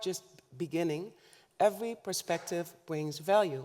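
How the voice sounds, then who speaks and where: The voice has a dark, mellow tone and a Dutch accent, with ordinary pitch variation. It moves at a moderate pace in a very clean recording with a silent background. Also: woman. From Netherlands, north Limburg. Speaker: government official, keynote speaker. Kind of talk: keynote speech. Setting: conference stage with audience. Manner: formal.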